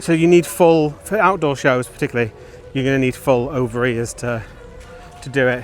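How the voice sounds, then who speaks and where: Music plays in the background as a man with a Lancashire accent speaks at a fairly quick pace. His voice sits at a medium pitch with ordinary pitch variation. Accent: Wigan. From northern England, Wigan. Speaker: theme park vlogger. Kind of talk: walking vlog narration. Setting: outdoors at a theme park.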